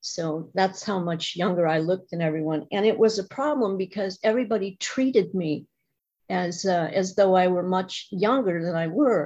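In an ordinary speaking voice, a woman at medium pitch talks at a moderate pace with ordinary pitch variation against a quiet background. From US Midwest. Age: 60s. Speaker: recovering alcoholic speaker. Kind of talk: testimony. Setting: video call.

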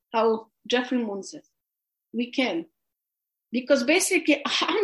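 With a Polish accent, a woman speaks at a high pitch with very wide pitch swings. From Poland. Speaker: recovering alcoholic sharing story. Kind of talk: testimony. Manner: halting.

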